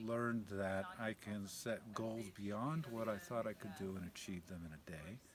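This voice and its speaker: A man talks at a moderate pace with a fairly low pitch. Noticeable background noise runs behind him. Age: 50s. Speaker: thru-hiker. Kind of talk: casual interview monologue.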